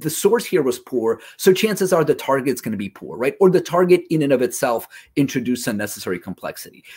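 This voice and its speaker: In a very clean recording with a silent background, a man with a Russian accent and fairly high pitch speaks very fast with hardly any pauses, very wide pitch swings and big swings in loudness. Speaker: localization industry presenter, former translator. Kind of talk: conference presentation. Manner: conversational, frequent 'right?' fillers.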